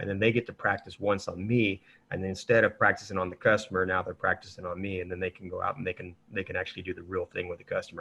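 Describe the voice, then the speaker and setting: Talking at a very fast pace, a man barely pauses at all. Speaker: marketing consultant for powersports dealers. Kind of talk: webinar discussion.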